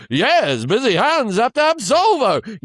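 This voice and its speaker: In a put-on character voice, the speaker uses a high, sing-song pitch at a fairly slow pace. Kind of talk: old-fashioned. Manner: rhythmic, sing-song ad delivery.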